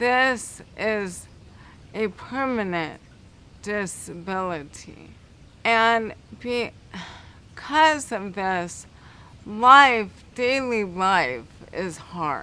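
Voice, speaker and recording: A woman's medium-pitched voice, bright and sharp in tone, at a very slow pace with long, frequent pauses and audible room echo. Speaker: guide dog applicant. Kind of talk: interview.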